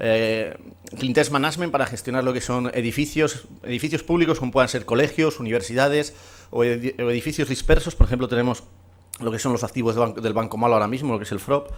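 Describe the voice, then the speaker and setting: Talking at a very fast pace, a man keeps a medium pitch with ordinary pitch variation. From Spain, Burgos. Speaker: conference speaker, company representative. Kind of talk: conference presentation. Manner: hesitant, many fillers.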